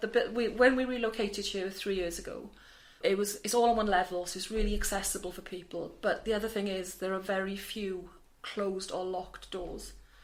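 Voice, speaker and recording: A woman's flat, monotone delivery at a fairly quick pace, with audible room echo. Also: medium pitch for a woman. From South Wales. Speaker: charity manager. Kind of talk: interview. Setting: office in a busy charity building. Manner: hesitant, many fillers and repetitions.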